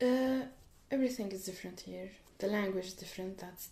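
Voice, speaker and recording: A woman with an Arabic accent, audible room echo around her. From Syria. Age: 20s. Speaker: refugee student. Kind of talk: interview. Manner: hesitant.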